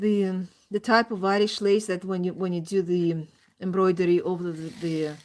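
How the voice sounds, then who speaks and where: On a very clean recording with a silent background, a woman talks at a moderate pace and a medium pitch. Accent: non-native. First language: not English. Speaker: crafts streamer. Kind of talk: casual chat. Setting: live stream. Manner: halting.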